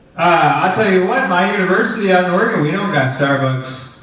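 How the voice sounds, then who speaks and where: A man with a high pitch and lively intonation at a fairly quick pace, amid noticeable background noise and audible room echo. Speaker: film lecturer. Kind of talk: lecture. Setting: classroom with microphone. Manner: hesitant, many fillers.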